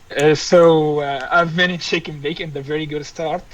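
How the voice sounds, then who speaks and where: There is noticeable noise in the background. The speaker is a man. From Egypt. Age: 20s. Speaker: fighter pilot. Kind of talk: podcast interview. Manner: halting.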